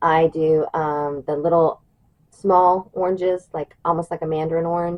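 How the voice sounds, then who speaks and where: Speaking at a fairly slow pace, a woman with an American accent uses a fairly low pitch and fairly even intonation. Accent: Southern US, stronger than usual today. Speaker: prepper channel host. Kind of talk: tutorial. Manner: casual, babbling with fillers.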